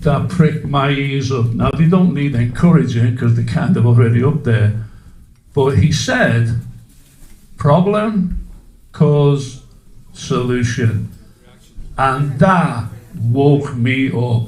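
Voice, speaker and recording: A man with a fairly high voice speaks very slowly, leaving long, frequent pauses. His intonation is lively, and room echo is audible. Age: 60s. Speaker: public speaker at a community meeting. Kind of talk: public talk to a live audience. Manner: interactive, asks audience questions.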